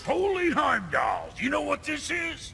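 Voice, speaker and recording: Shouting in a put-on character voice, the speaker goes at a fairly slow pace over clear background noise. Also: man, extremely high pitch for a man. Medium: video game. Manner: gruff, sarcastic.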